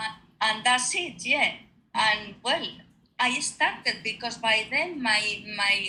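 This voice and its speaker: A woman with a Spanish accent, fairly high pitch, bright, sharp tone, ordinary pitch variation and a very slow pace. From Spain. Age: 50s. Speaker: retired nurse. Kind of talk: interview. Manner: halting.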